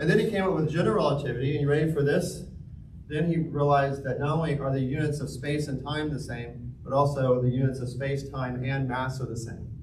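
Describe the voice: In a room with audible echo, a man at medium pitch talks at a fairly quick pace with fairly even intonation.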